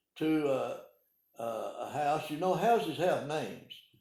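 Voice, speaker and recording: Heard with audible room echo, a man with an American accent speaks at a fairly slow pace. His voice is fairly high, with a dark, mellow tone and ordinary pitch variation. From Arkansas (Calico Rock, Ozarks). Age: 80s+. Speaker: retired pharmacist. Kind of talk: oral history interview. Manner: halting, many hesitations.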